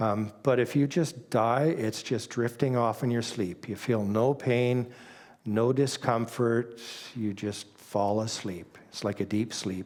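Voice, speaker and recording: In a Canadian accent, a man with a normal speaking voice of medium pitch and ordinary pitch variation talks at a fairly slow pace on a very clean recording with a silent background. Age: 60s. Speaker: church speaker sharing testimony. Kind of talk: testimony.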